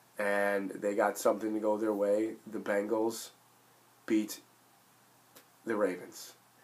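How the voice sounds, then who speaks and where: A man's fairly low, monotone voice with flat intonation, a very slow pace, and long, frequent pauses. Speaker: sports fan video blogger. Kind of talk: casual monologue. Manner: halting, filler-heavy.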